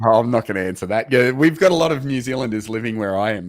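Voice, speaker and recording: In a very clean recording with a silent background, a man speaks with an Australian accent and ordinary pitch variation. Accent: Australian, sounds funny to Americans. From Australia, Queensland. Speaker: proptech program managing partner. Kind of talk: interview. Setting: live video stream.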